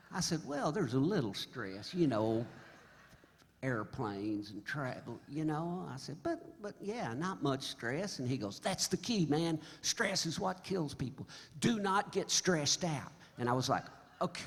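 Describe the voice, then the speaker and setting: With vocal fry and a fairly high pitch, a man speaks at a fairly slow pace while his pitch swings very widely. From Oklahoma. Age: 70s. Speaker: singer-songwriter. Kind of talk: stage banter storytelling. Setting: stage with audience. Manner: animated.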